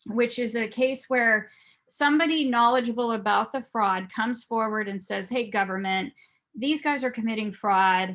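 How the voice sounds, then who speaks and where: Recorded very cleanly against a silent background, a woman with an unremarkable speaking voice talks at a moderate pace, her fairly high pitch showing ordinary variation. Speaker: private investigator and fraud examiner. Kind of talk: presentation.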